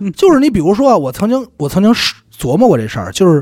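A man speaks with very wide swings in pitch. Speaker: radio presenter. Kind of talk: interview conversation.

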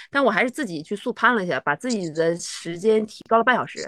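Against a quiet background, a woman talks at a very fast pace in a medium pitch with lively intonation. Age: 40s. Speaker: trail runner and race director. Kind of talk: casual chat.

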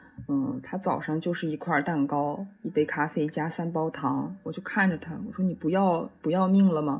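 A woman talks at a moderate pace with hardly any pauses. Her fairly low, somewhat breathy voice has ordinary pitch variation. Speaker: drama student. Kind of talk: casual chat. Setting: remote call.

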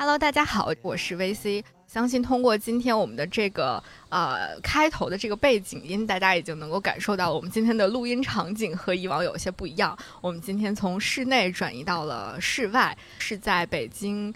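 A woman with a plain, everyday voice talks at a moderate pace, her medium pitch carried by lively intonation. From Central Plains, China. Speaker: podcast host. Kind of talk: casual chat. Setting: outdoors by a river.

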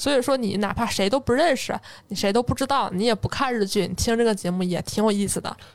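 Talking at a very fast pace, a woman uses a fairly high pitch with ordinary pitch variation. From Northeast China, Jilin. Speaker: podcast host. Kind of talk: casual chat.

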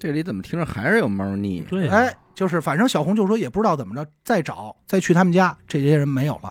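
A man with a slight Beijing accent, very fast with hardly any pauses, and very wide pitch swings. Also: very clean recording, silent background. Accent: Beijing Mandarin, slight. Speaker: podcast co-host telling a true-crime case. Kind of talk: casual storytelling of a crime case. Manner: colloquial with many filler sounds.

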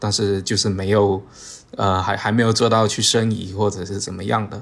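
At a moderate pace, a man speaks at a fairly low pitch. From Zhangzhou, Fujian (southern Min region), China. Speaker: architect. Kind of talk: casual interview chat.

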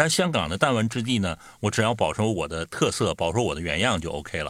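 A man with an unremarkable speaking voice, fairly low in pitch, with lively intonation and a fairly quick pace, in a very clean recording with a silent background. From Northeast China. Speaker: podcast host. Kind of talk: casual chat.

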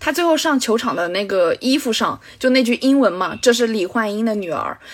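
A woman speaks with fairly high pitch and lively intonation. Noticeable background noise runs beneath her. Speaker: film podcast guest. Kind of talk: casual film discussion.

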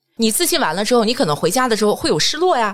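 In an animated tone, a woman talks at a very fast pace with a fairly high pitch, vocal fry and very wide pitch swings. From Jinan, Shandong, China. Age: 40s. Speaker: corporate trainer and lecturer. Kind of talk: casual interview chat.

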